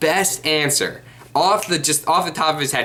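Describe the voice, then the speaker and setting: A man with a fairly high voice speaks at a fairly quick pace. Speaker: card game youtuber. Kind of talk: casual monologue vlog. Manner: halting, many fillers and repeats.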